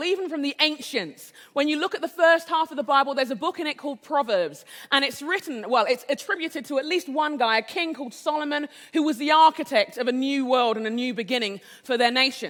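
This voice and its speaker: A woman with an English accent talks at a very fast pace in a high pitch, with ordinary pitch variation. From England. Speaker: conference speaker. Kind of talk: inspirational keynote talk.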